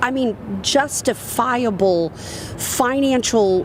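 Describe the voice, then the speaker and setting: An animated tone comes through in a Southern US accent. Noticeable background noise runs underneath. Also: woman. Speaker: industry speaker and consultant. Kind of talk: live podcast interview. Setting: live recording at a conference.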